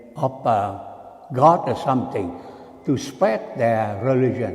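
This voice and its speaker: A man at a very slow pace, with audible room echo and noticeable background noise. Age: 80s+. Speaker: Buddhist monk. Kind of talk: dharma talk.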